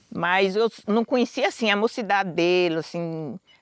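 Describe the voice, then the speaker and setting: A woman's plain, everyday voice at a medium pitch with ordinary pitch variation and a moderate pace, recorded very cleanly against a silent background with a dry, close, echo-free sound. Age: 60s. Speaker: quilombo elder. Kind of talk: testimony.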